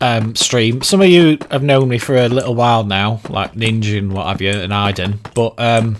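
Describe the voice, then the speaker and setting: A man's medium-pitched, ordinary speaking voice with ordinary pitch variation, a moderate pace and hardly any pauses. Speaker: streamer; YouTuber.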